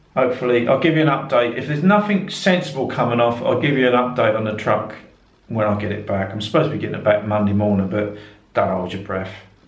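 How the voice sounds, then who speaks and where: A man's medium-pitched voice, lively in intonation and very fast in pace, with audible room echo. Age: 60s. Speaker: truck driver vlogger. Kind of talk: casual chat. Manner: rambling, halting.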